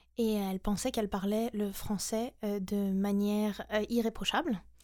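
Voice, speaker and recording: A woman speaks with a dark, mellow tone at a fairly high pitch. Her intonation is fairly even, on a very clean recording with a silent background. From France and the US. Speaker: SEO specialist. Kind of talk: interview.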